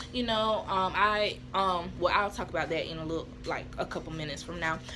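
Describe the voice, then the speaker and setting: An animated, fairly quick woman's voice with audible room echo and noticeable background noise. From US Southeast, small town. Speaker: vlogger. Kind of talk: casual storytelling vlog. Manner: fast.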